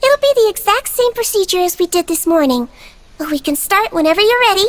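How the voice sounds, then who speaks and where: A squeaky, female-sounding put-on character voice at an extremely high pitch moves at a fairly quick pace. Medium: actual play. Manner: soft, caring.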